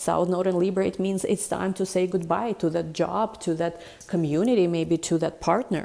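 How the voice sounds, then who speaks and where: Moving at a fairly quick pace, a woman speaks at a fairly low pitch with ordinary pitch variation. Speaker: tarot reader. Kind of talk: tarot reading monologue. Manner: fast; animated.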